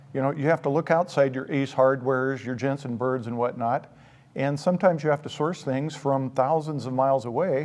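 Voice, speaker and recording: In an American accent, a man with an ordinary speaking voice and fairly high pitch talks at a fairly quick pace. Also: fairly even intonation. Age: 60s. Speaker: store owner. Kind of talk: interview.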